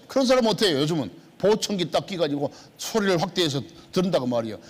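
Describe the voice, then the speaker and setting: This man talks at a very fast pace in a high pitch. His pitch swings very widely. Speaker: pastor. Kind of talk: sermon. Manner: emphatic, repetitive.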